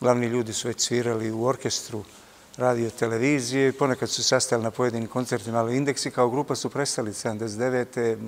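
Very fast and monotone, a man speaks with flat intonation. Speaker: interview guest. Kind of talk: interview answer. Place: hall. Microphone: lapel.

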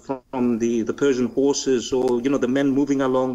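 Speaking fairly slowly, a man with a Greek accent uses a medium pitch. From Greece. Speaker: historian. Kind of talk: interview. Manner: halting.

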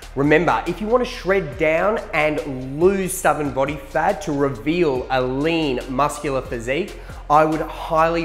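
With faint music in the background, a man speaks at a fairly slow pace with ordinary pitch variation. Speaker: presenter. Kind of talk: promotional outro to camera. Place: studio. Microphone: lapel.

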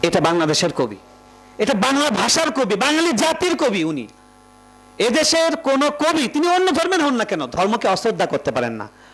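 The loudness stays very even throughout. Meanwhile, the pitch swings very widely. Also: man, extremely high pitch for a man. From Bangladesh. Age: 30s. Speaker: newspaper editor and Islamic scholar; newspaper editor. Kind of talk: memorial speech. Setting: stage with audience. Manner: impassioned. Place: hall. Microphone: podium.

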